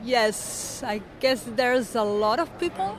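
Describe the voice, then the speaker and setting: Crowd noise carries in the background. Over it, a woman speaks in a Spanish accent. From Barcelona, Spain. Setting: conference interview. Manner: halting, hesitant.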